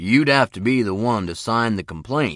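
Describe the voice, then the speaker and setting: A man uses a raspy, put-on character voice at medium pitch with lively intonation. His pace is moderate against a quiet background. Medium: read story.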